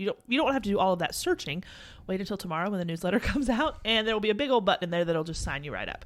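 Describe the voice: With an American accent, a woman of medium pitch speaks at a very fast pace with lively intonation.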